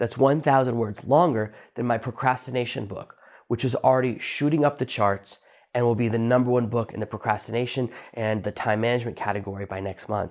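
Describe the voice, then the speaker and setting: A man at a medium pitch with fairly even intonation and a fairly quick pace, on a very clean recording with a silent background. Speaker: podcast host and self-published author. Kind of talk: solo podcast monologue. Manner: fast.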